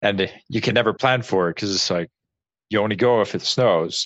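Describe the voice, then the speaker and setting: A man is speaking. He has a western Canadian accent. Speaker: podcast co-host. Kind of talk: casual chat.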